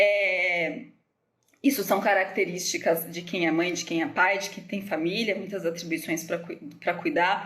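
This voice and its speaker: A woman speaks at a fairly slow pace with a medium pitch, ordinary pitch variation, and big swings in loudness. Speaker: nutritionist. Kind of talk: live stream Q&A talk. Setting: Instagram live from home. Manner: hesitant, many fillers.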